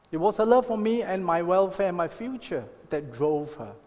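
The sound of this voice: At a moderate pace, a man with a high pitch and a slightly mellow tone makes big pitch swings.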